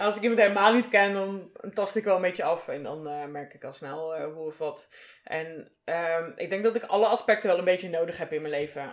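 Using an ordinary speaking voice, a woman talks at a medium pitch and a fairly quick pace, with ordinary pitch variation and big swings in loudness. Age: 30s. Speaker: guest from the BDSM scene. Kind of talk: casual interview.

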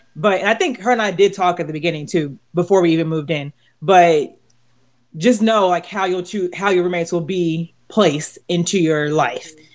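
Moderate-paced speech on a very clean recording with a silent background. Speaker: podcast host. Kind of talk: casual chat.

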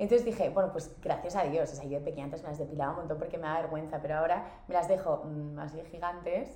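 A woman's animated, fairly low voice at a very fast pace with hardly any pauses, ordinary pitch variation and big swings in loudness, plus audible room echo. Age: 20s. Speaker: model. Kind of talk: casual chat. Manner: fast, animated.

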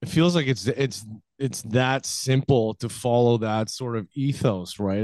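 In a dry, close sound with no echo, a man with an ordinary speaking voice talks at a moderate pace and medium pitch, with ordinary pitch variation. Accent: Canadian. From Canada. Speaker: podcast host. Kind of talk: casual interview chat.

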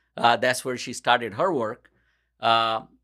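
A man speaks in a bright, sharp tone. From India. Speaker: pharmacist. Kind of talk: interview. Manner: halting, many fillers.

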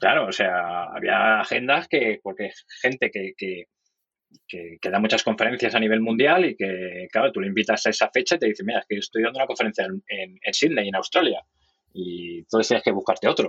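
A man talks at a fairly quick pace in a normal speaking voice, with medium pitch and lively intonation. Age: 40s. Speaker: designer and event organizer. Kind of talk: casual interview chat. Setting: phone booth at the office.

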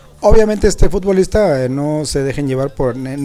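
A man talks at a fairly quick pace in a fairly high pitch. His pitch variation is ordinary, and there is noticeable background noise. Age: 50s. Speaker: music show panelist. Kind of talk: casual chat.

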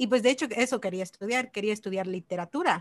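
Recorded with a dry, close sound and no echo against a quiet background, a woman speaks at a medium pitch with ordinary pitch variation. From Mexico, Chiapas. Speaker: mobile developer and online course instructor. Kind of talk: casual interview.

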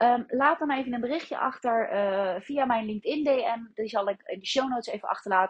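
A woman's high-pitched voice at a fairly quick clip, with ordinary pitch variation and hardly any pauses. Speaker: business mentor. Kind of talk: solo podcast monologue.

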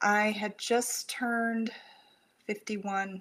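On a very clean recording with a silent background, a woman talks at medium pitch with an American accent. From rural Texas. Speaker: suicide prevention counselor. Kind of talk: interview.

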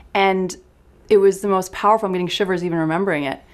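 In a Canadian accent, a woman talks in a plain, everyday voice at a medium pitch. Her intonation is fairly even, on a very clean recording with a silent background. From small town Canada. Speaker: clinical psychologist. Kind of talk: casual interview.

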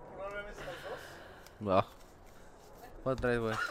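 There is clearly audible background noise here. Through it, a man talks with lively intonation. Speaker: podcast co-host. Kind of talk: casual comedic chat.

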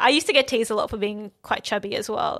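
This woman speaks with an Australian accent on a very clean recording with a silent background. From Melbourne, Australia. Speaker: dancer. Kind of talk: casual chat. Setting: studio.

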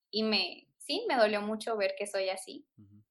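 This woman's voice sits fairly high. Her pitch moves only a little, staying fairly even. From Mexico, Guanajuato. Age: 20s. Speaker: primary school teacher. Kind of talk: casual interview.

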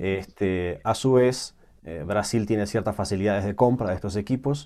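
At a moderate pace, a voice with a dark, mellow tone and ordinary pitch variation comes through on a very clean recording with a silent background. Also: man. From Uruguay. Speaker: technology manager at assistive tech company. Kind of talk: interview.

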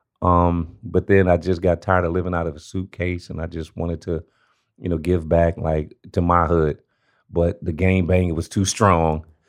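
In a quiet background, a man with an American accent speaks. His pitch is very deep and low, at a moderate pace. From South Central Los Angeles. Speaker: homeless rights advocate. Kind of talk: interview. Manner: animated.

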